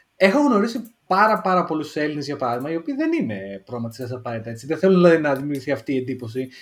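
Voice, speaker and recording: A man talks with a Central Greek accent. His pace is very fast. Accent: regional Central Greek. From Greece, Lamia. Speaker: podcast co-host. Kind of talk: casual chat. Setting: online call.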